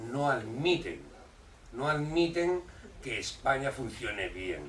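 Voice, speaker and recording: Speaking very slowly with lively intonation and a fairly high pitch, a man is heard amid audible room echo and noticeable background noise. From Catalonia, moved from Córdoba as a child. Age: 60s. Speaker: activist association president. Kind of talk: public talk. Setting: community hall with audience.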